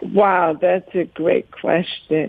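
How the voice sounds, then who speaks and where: The woman's voice sits at a medium pitch. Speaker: podcast guest. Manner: speaks slowly.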